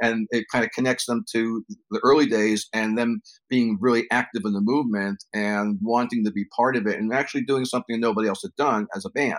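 With a New York accent, a man talks at a fairly quick pace in a medium pitch and fairly even intonation, the sound dry and close with no echo. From New York City, the Bronx. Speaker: cannabis journalist and former magazine editor. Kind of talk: interview conversation.

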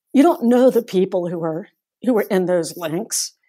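A woman speaks with an American accent and a dark, mellow tone. Her intonation is lively. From US South, North Carolina. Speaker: folklore professor. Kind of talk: interview.

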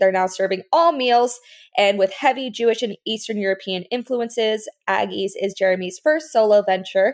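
A plain, everyday voice with an American accent, in a very clean recording over a silent background. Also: woman. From US South, Fort Lauderdale area, Florida. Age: 20s. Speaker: podcast host. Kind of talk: scripted intro; casual chat. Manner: laughs often.

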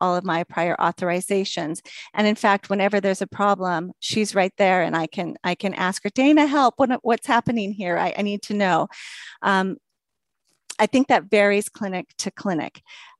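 Speaking with an American accent, this woman has a normal speaking voice at a medium pitch and a moderate pace. The sound is dry and close with no echo, over a quiet background. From Washington state, US. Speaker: rheumatology nurse practitioner. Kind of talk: interview.

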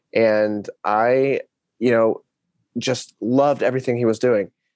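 In an American accent, a man with an unremarkable speaking voice talks at a medium pitch and a fairly slow pace, with fairly even intonation and a dry, close sound with no echo. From Arkansas, US South. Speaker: startup community lead and aspiring actor. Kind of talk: interview.

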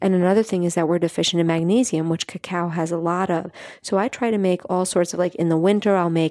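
Fairly low-pitched woman's voice with an American accent, dark and mellow, fairly quick, with fairly even intonation and a dry, close sound with no echo. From New York City (Staten Island). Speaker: nutrition and wellness coach. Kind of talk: interview.

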